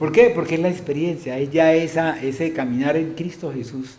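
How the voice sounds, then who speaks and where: A man speaks at a fairly high pitch with ordinary pitch variation. Noticeable background noise and audible room echo are present. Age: 70s. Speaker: pastor. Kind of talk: sermon. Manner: animated, rhetorical questions.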